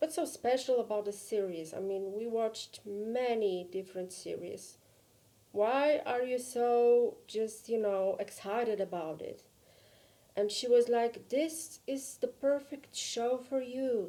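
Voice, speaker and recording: A woman with a Polish accent speaks fairly slowly, her fairly high voice carrying a dark, mellow tone and ordinary pitch variation. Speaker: vlogger. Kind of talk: personal vlog.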